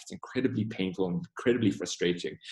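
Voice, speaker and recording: The man's voice carries a somewhat breathy quality. His intonation is lively. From South Africa. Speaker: diversity and inclusion trainer. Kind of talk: webinar Q&A. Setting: online webinar. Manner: conversational.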